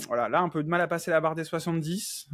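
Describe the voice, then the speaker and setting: The speaker is a man. The background is quiet. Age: 30s. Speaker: coaching client, nursing assistant. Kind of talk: interview testimony. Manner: hesitant, many fillers.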